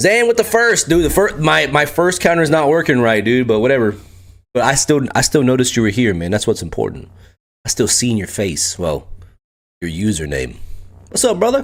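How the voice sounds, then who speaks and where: Very wide pitch swings from a man at medium pitch and a fairly quick pace, on a very clean recording with a silent background. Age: 30s. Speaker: streamer and retiring military member. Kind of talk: casual live stream chat. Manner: animated.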